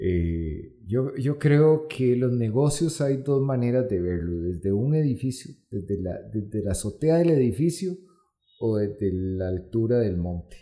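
A man speaks at a medium pitch with very wide pitch swings and a somewhat breathy quality. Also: fairly slow pace. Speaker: entrepreneur and amateur ultramarathon runner. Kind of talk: interview.

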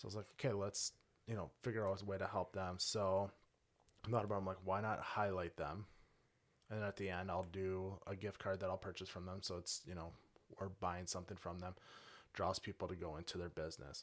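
Speaking with an Upper Midwest accent at a fairly quick pace, the voice keeps a fairly even intonation on a very clean recording with a silent background. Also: man, very deep, low pitch for a man. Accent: Upper Midwest American. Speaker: home cook, cooking competition winner. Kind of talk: casual interview. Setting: studio.

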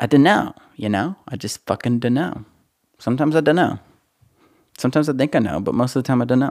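Talking at a very fast pace, a man leaves long, frequent pauses. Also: medium pitch for a man, ordinary pitch variation. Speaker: podcast host, musician. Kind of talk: casual solo monologue. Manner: rambling, lots of fillers.

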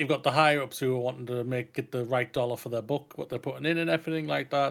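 Very fast and medium in pitch, a man talks in a British accent on a very clean recording with a silent background. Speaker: podcast co-host. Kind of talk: casual chat. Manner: loud.

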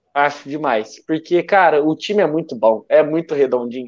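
A man speaks in a normal speaking voice at a fairly high pitch and a moderate pace. The background is quiet. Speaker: sports podcast co-host. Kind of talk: casual chat.

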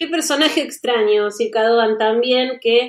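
Pitched high, a woman talks at a moderate speed, her pitch varying in an ordinary way. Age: 30s. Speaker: podcast host. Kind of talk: casual chat.

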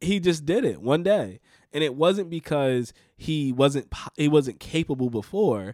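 An animated man's voice in a very clean recording with a silent background. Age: 20s. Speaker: podcast host. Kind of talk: casual chat. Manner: animated, laughing often.

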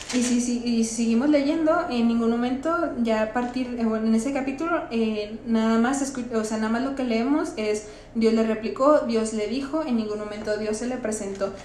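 Amid noticeable background noise and audible room echo, a woman talks at a moderate pace and fairly high pitch with ordinary pitch variation. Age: 20s. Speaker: parish youth volunteer, bible study podcast host. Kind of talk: bible study discussion.

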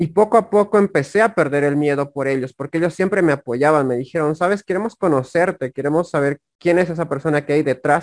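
An unremarkable speaking voice from a man, fairly high in pitch with ordinary pitch variation, at a fairly quick pace with hardly any pauses, in a dry, close sound with no echo. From Bolivia, La Paz. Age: 20s. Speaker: affiliate marketer and YouTuber. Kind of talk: interview conversation.

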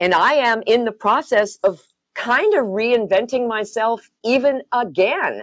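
A woman with an unremarkable speaking voice, fairly high in pitch, fairly slow, very even in loudness, with ordinary pitch variation. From US Upper Midwest (Wisconsin). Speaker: massage therapist, former radio worker. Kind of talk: casual chat. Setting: phone call.

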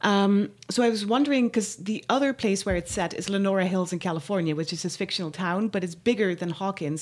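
This very clean recording has a silent background. A woman with a medium-pitched voice talks at a fairly quick pace. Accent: Dutch. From Netherlands. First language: Dutch. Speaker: musician and podcast host's wife. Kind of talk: casual chat. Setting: studio.

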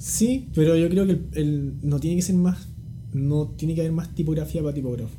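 Room echo is audible and background noise is noticeable as a man talks. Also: moderate pace. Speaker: type designer. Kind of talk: casual interview. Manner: calm, laid-back.

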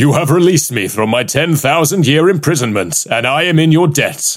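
A man puts on a booming character voice, fairly high in pitch, at a moderate pace. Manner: booming, thundering.

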